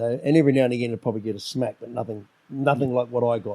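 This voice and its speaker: Dark and mellow in tone, a man with a New Zealand accent speaks at medium pitch with fairly even intonation. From New Zealand, Auckland. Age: 50s. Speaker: solo dad. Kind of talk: podcast interview. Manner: halting.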